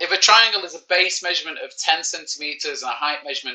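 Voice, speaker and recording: A man with a Manchester accent. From Manchester, England. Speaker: primary school teacher. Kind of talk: live online maths lesson. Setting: live stream. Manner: casual, joking.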